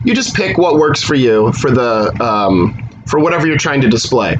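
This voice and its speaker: Amid noticeable background noise, a man talks at a fairly quick pace with lively intonation. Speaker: math instructor. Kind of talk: recorded lecture. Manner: fast; casual.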